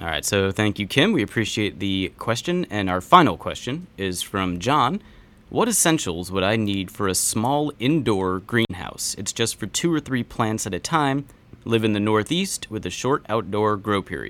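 At a moderate pace and fairly low pitch, a man uses lively intonation in an unremarkable speaking voice. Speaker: podcast co-host. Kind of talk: casual chat.

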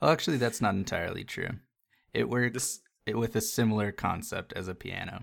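In a very clean recording with a silent background, a man with an unremarkable speaking voice talks at a fairly quick pace. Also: medium pitch for a man, ordinary pitch variation. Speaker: podcast host. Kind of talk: casual chat. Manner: casual, profane.

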